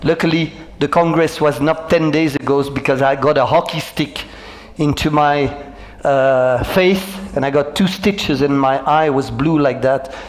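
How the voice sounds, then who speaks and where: A man with a French accent speaks at a moderate pace in a fairly high pitch, his intonation fairly even and his loudness very even, over noticeable background noise. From Belgium. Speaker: motivational speaker and business coach. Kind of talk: keynote talk. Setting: stage with audience.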